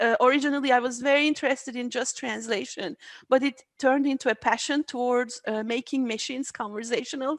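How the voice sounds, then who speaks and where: A woman talks at a fairly quick pace in a high pitch with fairly even intonation. The sound is dry and close with no echo, on a very clean recording with a silent background. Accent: Turkish. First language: Turkish. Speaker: AI research scientist. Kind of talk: interview. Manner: halting.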